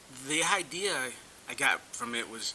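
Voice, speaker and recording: Noticeable background noise surrounds a man speaking with an American accent. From North Carolina, rural. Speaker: small business owner, military veteran. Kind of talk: interview.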